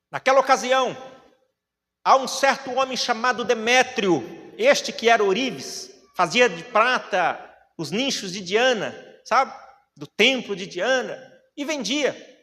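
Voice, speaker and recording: In a raised, projected voice, a man speaks with an extremely high pitch, an animated tone, lively intonation and big swings in loudness, going at a fairly slow pace with long, frequent pauses. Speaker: preacher. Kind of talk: sermon.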